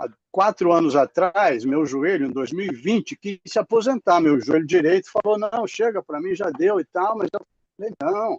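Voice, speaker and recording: A high-pitched man with lively intonation in a dry, close sound with no echo. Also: moderate pace. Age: 70s. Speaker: essential oils user, runner. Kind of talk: testimony. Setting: video call. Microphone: choppy connection.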